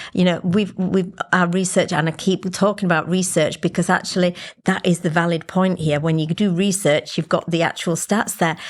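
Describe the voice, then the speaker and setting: Against a quiet background, a woman with a fairly low pitch talks at a moderate pace in a monotone, flat intonation with very even loudness. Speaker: business CEO. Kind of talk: podcast interview discussion.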